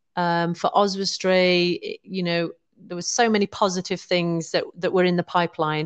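A woman speaks with a West Midlands accent. Her pace is moderate. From West Midlands, England. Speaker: business improvement district manager. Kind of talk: interview. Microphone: connection cutouts.

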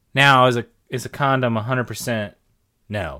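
With vocal fry and a bright, sharp tone, a man talks at a very slow pace on a very clean recording with a silent background. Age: 30s. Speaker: podcast co-host. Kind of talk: casual chat.

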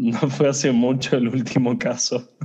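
A man's medium-pitched voice with a dark, mellow tone at a fairly slow pace. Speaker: HR consultant. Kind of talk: interview.

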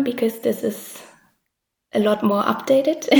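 Her pitch fairly high, a woman speaks with a German accent and ordinary pitch variation. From East Germany, Dresden. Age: 20s. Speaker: illustrator. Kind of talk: interview.

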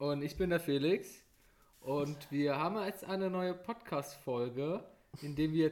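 A man with a plain, everyday voice speaks at a fairly slow pace. His pitch variation is ordinary. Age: 20s. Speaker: podcast co-host. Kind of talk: casual chat.

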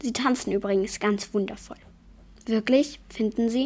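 This is a natural reading voice. It is delivered as a reading.

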